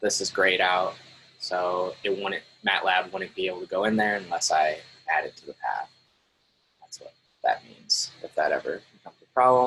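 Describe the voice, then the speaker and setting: A man speaks at a moderate pace with long, frequent pauses. His loudness swings widely. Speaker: teaching assistant. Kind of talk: tutorial. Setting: screen-share recording. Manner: casual, filler-heavy.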